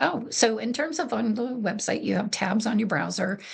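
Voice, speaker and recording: Vocal fry at a moderate pace, with fairly even intonation. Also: woman. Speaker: program coordinator presenting software tutorial. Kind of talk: webinar tutorial presentation. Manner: soft-spoken; hesitant, many fillers.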